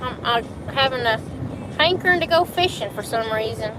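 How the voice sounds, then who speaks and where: A woman's high voice at a moderate pace with an American accent, ordinary pitch variation and noticeable background noise. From US South. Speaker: live streamer. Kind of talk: casual chat.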